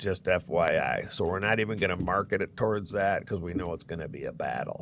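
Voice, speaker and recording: With an American accent and vocal fry, a man talks at a fairly quick pace in a fairly low voice with ordinary pitch variation. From Florida. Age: 60s. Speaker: real estate agent. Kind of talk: podcast interview. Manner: animated.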